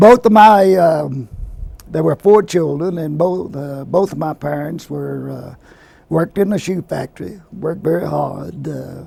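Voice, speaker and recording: Fairly slow male speech with big swings in loudness against noticeable background noise. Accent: American. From Virginia, Lynchburg. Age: 70s. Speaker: retired health physicist. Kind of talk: oral history interview. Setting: at a professional conference.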